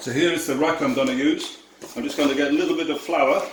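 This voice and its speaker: A man with a Yorkshire accent is heard with audible room echo and noticeable background noise. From Yorkshire, northern England. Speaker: tour operator. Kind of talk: cooking tutorial. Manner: casual, chatty.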